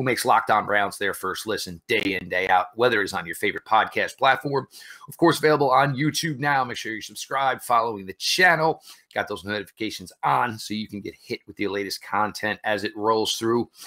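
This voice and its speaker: Fairly quick male speech, bright and sharp in tone, with lively intonation, big swings in loudness and a quiet background. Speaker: podcast host. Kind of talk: podcast intro commentary. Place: home room.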